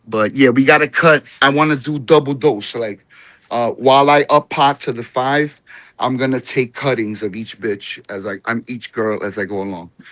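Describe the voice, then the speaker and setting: A moderate pace in a New Jersey accent, ordinary pitch variation, and a dry, close sound with no echo. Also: man, medium pitch for a man. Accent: New Jersey American. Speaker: home cannabis grower. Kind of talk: casual chat. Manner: casual, profane.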